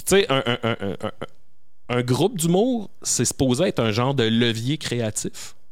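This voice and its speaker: Speaking at a very slow pace in a Quebec accent, a man uses a medium pitch and lively intonation. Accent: Québécois French. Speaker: comedian. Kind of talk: casual chat.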